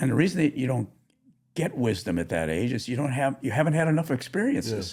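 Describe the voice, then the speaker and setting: A man at a medium pitch, very fast, with vocal fry and very wide pitch swings. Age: 80s+. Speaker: author and executive advisor. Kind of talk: interview conversation.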